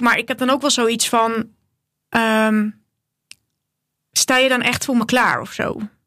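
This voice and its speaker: A woman's fairly high voice carries a bright, sharp tone and fairly even intonation. The very clean recording sounds dry and close, with no echo and a silent background. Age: 20s. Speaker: podcast host, hairstylist. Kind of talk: casual chat.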